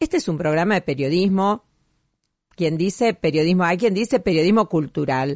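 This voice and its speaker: A woman speaks in an unremarkable speaking voice, fairly low in pitch, at a moderate pace with very even loudness. The sound is dry and close with no echo, over a quiet background. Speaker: radio host. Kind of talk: radio show narration, year-end review.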